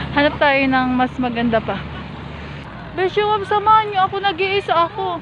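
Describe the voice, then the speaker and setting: A woman speaks at a high pitch in an animated tone, her pitch swinging very widely while her loudness stays very even. Her pace is moderate, with noticeable background noise behind her. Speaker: vlogger. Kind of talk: travel vlog narration. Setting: outdoors, flower garden. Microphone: voice muffled by face mask, quiet.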